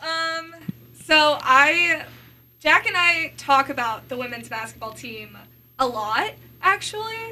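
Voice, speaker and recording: Amid noticeable background noise, a woman speaks very slowly in a high, raised, projected voice, with very wide pitch swings, big swings in loudness, and long, frequent pauses. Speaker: sports broadcaster and student. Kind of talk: casual chat.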